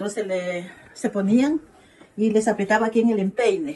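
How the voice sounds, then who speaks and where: In an ordinary speaking voice, a woman talks at a moderate pace with ordinary pitch variation. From Ecuador, southern Amazon region (Zamora Chinchipe). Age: 60s. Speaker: local elder interviewee. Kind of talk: interview testimony.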